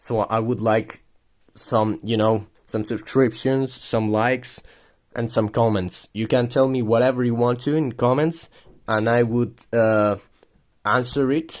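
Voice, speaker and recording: A man with a non-native accent speaks at a medium pitch on a very clean recording with a silent background. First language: not English. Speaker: militaria collector YouTuber. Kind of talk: product review video. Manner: halting, many fillers and repeats.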